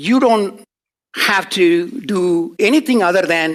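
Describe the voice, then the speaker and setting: The man speaks with a high voice, and his pitch swings very widely. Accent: non-native. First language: not English. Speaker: professor. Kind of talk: lecture.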